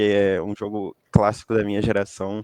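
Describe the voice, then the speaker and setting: A voice with a Rio de Janeiro accent speaks at a fairly slow pace in a dry, close sound with no echo. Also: man. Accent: Rio de Janeiro accent, noticeable. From interior of Rio de Janeiro state, Itaperuna. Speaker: recent graduate. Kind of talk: interview. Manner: hesitant, many filler sounds.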